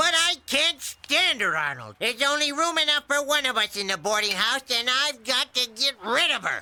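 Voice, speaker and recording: This cartoonish character voice is high in pitch and moves at a moderate pace. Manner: gruff, cackling.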